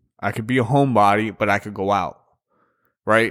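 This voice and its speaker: A man talks in an ordinary speaking voice at a medium pitch. His intonation is fairly even. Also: very clean recording, silent background. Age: 30s. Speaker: podcast host. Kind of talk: casual chat.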